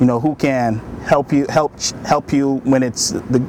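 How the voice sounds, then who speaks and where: Noticeable background noise accompanies a man talking with fairly even intonation. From Bahamas. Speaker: army sergeant and broadcaster. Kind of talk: interview answer.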